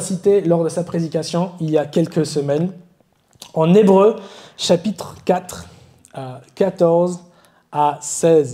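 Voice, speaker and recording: In an English accent, a man speaks at a fairly slow pace and high pitch, his dark, mellow tone carrying ordinary pitch variation. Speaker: preacher. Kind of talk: sermon. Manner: halting, self-correcting.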